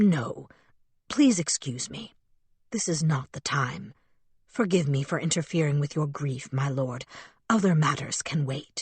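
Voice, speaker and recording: A put-on character voice at a low-to-middle pitch comes with long, frequent pauses. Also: moderate pace. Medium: read story. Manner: formal, deferential.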